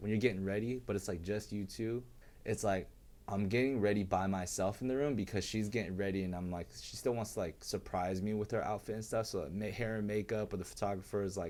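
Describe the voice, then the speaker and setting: Speaking at a very fast pace, a man uses a fairly low pitch with ordinary pitch variation. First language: Chinese. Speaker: dancer and choreographer. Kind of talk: casual chat.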